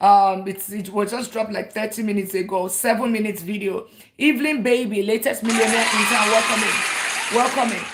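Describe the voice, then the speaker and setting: Through noticeable background noise, a fairly high-pitched woman talks in an animated tone at a fairly quick pace with hardly any pauses. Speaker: personal finance educator. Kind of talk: livestream teaching. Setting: live stream.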